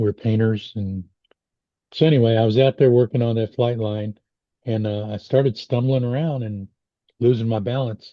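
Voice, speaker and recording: Here a man speaks at a medium pitch. His pace is moderate and his intonation fairly even. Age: 60s. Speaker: podcast host, blind stroke survivor. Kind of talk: casual chat. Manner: halting.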